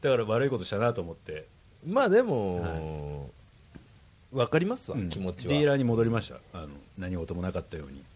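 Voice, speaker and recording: In a fairly low pitch, a man talks at a very fast pace with very wide pitch swings and big shifts in loudness. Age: middle-aged. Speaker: podcast host. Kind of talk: casual chat.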